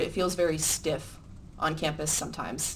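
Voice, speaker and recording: A woman's very deep, low, monotone voice in an American accent at a moderate pace, with audible room echo. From Midland, Michigan (US Upper Midwest). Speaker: student newspaper editor. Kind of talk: editorial panel discussion.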